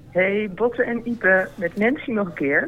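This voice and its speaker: This woman talks at a very slow pace. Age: old. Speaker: audience member. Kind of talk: casual chat. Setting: live festival audience.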